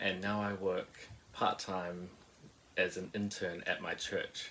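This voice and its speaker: The speaker is a man with a New Zealand accent. He talks at a moderate pace. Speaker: musician and church intern. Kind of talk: testimony.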